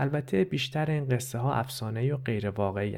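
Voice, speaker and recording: His voice has a somewhat breathy quality. The man's pitch variation is ordinary. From Iran, Tehran. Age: 30s. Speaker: podcast host and narrator. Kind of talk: scripted narration.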